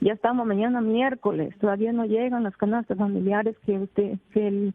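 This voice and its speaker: Her voice sits fairly high for a woman, with a moderate pace and monotone, flat intonation. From Peru, Tumbes. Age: 60s. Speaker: caller, rural resident. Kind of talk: call-in plea. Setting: phone call to radio.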